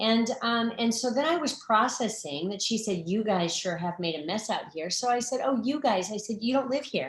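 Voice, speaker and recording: A somewhat breathy, fairly high-pitched woman's voice with an American accent, animated in tone, with lively intonation, a moderate pace and hardly any pauses. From Arizona. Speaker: nonprofit founder. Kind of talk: talk to online audience.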